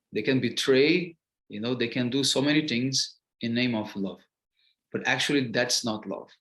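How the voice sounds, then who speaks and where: A man with a Portuguese accent speaks at a medium pitch and a moderate pace. His pitch varies in an ordinary way. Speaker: spiritual teacher. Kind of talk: lecture. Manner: halting, many fillers.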